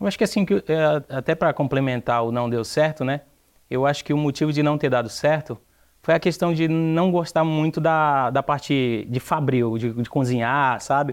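A man with an unremarkable speaking voice, fairly high in pitch, at a moderate pace against a quiet background. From Brazil, Ceará (Aracati). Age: young. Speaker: entrepreneur. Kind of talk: TV interview.

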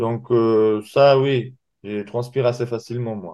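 A man speaks at a fairly slow pace with a medium pitch. His intonation is fairly even, and it is a plain, everyday voice. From Dagestan, Russia. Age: young. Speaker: MMA fighter. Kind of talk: interview.

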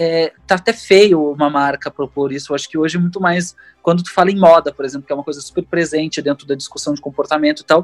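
A man at a fairly high pitch, very fast with hardly any pauses and fairly even intonation, in a dry, close sound with no echo and music in the background. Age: 30s. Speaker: singer, multi-instrumentalist and illustrator. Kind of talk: casual interview conversation.

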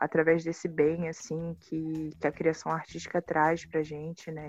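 A woman's fairly low, monotone, flat voice at a fairly slow pace. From Baixada Fluminense, Rio de Janeiro, Brazil. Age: 20s. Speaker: filmmaker. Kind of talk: interview.

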